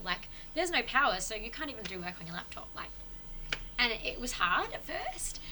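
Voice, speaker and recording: At a fairly quick pace, a woman with an Australian accent speaks with very wide pitch swings. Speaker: podcast guest on spirituality. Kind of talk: casual chat. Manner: fast.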